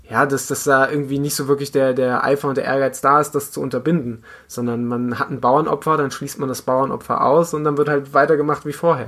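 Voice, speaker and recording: A man's normal speaking voice at medium pitch, with fairly even intonation and a fairly quick pace. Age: 20s. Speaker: amateur runner and podcaster. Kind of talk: casual chat.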